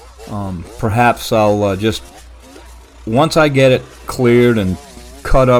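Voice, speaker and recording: With noticeable background noise, a man speaks using ordinary pitch variation. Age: 70s. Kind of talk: casual vlog narration. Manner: halting, many fillers.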